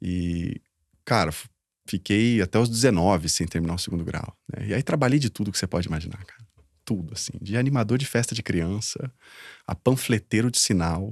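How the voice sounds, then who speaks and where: In a very clean recording with a silent background and a dry, close sound without echo, a man with a fairly low pitch speaks at a fairly quick pace with ordinary pitch variation. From southern Brazil, interior of Paraná (Londrina). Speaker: social entrepreneur, founder. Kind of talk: interview, life story. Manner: talkative, casual.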